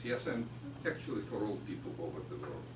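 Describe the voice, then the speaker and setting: A man with a Ukrainian accent is heard with audible room echo and noticeable background noise. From Ukraine. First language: Ukrainian or Russian. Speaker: chemistry researcher. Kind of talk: lecture. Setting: pub with audience.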